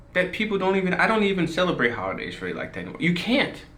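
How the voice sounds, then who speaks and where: In a room with audible echo, a man speaks in a high pitch with an animated tone. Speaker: commentary vlogger. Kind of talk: casual rant monologue.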